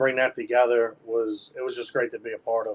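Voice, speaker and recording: A man speaks with a Philadelphia accent. His pace is moderate. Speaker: sports podcast co-host, former football player. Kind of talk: casual chat.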